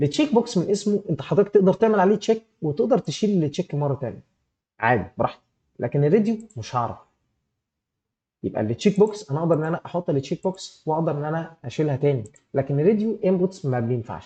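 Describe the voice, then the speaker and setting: A man's high-pitched, dark, mellow voice at a very fast pace, with very wide pitch swings against a quiet background. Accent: Egyptian. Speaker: programming instructor. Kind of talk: live online class tutorial. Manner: animated, gets louder when excited; halting, many repeated fillers.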